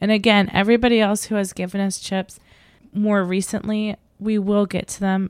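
Recorded very cleanly against a silent background, the voice moves at a moderate pace with a dry, close sound and no echo. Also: woman. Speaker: podcast co-host, mother. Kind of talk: casual family chat, taste test.

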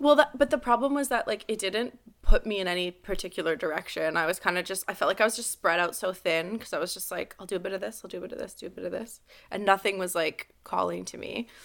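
A woman's medium-pitched voice in a Montreal accent, very fast, with lively intonation and big swings in loudness. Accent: English Canadian (Montreal anglophone). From Montreal, West Island, Quebec. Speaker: hairstylist. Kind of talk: casual interview. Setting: video call.

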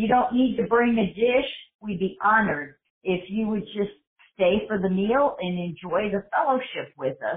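An ordinary speaking voice from a woman with an American accent, fairly high in pitch, at a moderate pace with lively intonation. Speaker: church host. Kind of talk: interview promoting an event.

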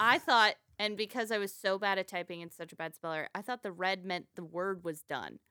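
A woman with an American accent, medium in pitch, bright and sharp in tone, at a fairly quick pace, in a dry, close sound with no echo on a very clean recording with a silent background. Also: ordinary pitch variation. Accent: Texan twang trained away in childhood. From Texas, later Florida. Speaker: stand-up comedian and podcast host. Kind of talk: casual chat.

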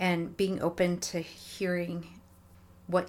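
A woman speaking at a very slow pace. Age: 40s. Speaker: guest sharing marriage experience. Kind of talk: casual chat.

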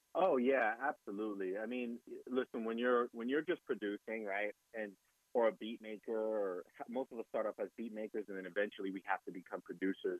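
In a normal speaking voice, a man with an American accent talks at a fairly quick pace, with medium pitch and ordinary pitch variation. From New Jersey, Jersey City. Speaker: DJ and music producer. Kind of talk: interview.

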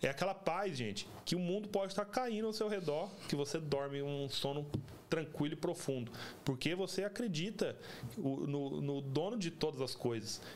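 Over noticeable background noise, a man talks with lively intonation. His pitch is fairly high. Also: moderate pace. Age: 30s. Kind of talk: casual religious chat.

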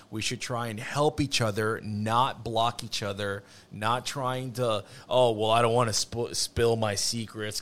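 At a fairly slow pace, a man with an unremarkable speaking voice talks at a medium pitch and fairly even intonation. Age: 30s. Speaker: refinishing business owner. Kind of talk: casual chat. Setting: studio.

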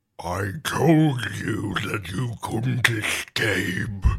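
In a raspy, put-on character voice, the words come at a very slow pace. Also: man, fairly low pitch for a man. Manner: menacing.

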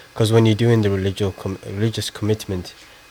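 The delivery is monotone, with flat intonation. Noticeable background noise is present. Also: man. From Somaliland. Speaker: college student. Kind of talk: radio interview.

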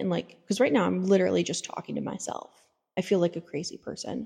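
A woman at a fairly quick pace, dark and mellow in tone. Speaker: podcast host; caregiver. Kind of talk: casual monologue. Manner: casual with many fillers.

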